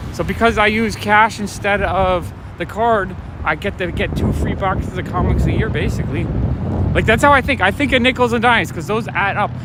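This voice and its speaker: A man with a high pitch and lively intonation speaks fairly quickly while noticeable background noise plays behind him. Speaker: comic shop owner and livestreamer. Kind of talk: casual livestream talk while walking. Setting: outdoors. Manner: soft-spoken.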